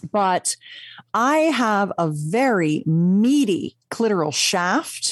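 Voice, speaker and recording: Her pitch sits at a medium level but swings very widely, and the sound of this woman's voice is dry and close with no echo. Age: 60s. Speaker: sex educator and author. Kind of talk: casual chat. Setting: studio.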